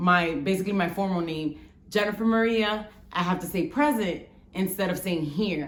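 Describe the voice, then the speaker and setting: With an American accent, a woman talks at a moderate pace and medium pitch, her pitch varying in an ordinary way amid audible room echo. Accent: New York Bronx twang with a little Spanish. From Bronx, New York, Dominican family. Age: 30s. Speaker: vlogger. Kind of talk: casual storytelling vlog.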